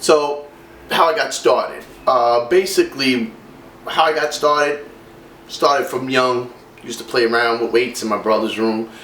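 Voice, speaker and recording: A man with a New York accent talks at a moderate pace and a medium pitch. Audible room echo surrounds his voice. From New York City, Brooklyn. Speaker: fitness vlogger. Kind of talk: personal testimony. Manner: casual, many fillers.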